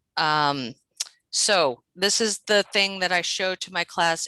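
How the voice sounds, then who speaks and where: A woman's bright, sharp tone comes with fairly even intonation, in a dry sound with no echo over a quiet background. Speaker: adult literacy teacher; teacher presenting to colleagues. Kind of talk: teacher training workshop. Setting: video call. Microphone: video call.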